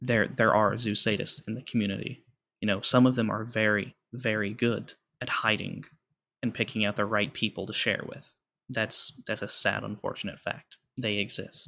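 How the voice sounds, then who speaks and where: A man speaks at a moderate pace in a fairly low voice. His intonation is monotone and flat. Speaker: podcast guest. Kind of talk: casual chat. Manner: talkative.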